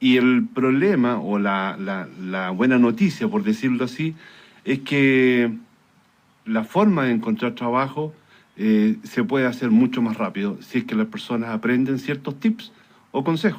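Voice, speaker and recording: At a fairly slow pace, a man talks at a medium pitch with very wide pitch swings. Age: 60s. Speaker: engineer and career consultant. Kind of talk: radio interview. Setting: radio studio. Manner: hesitant, many fillers.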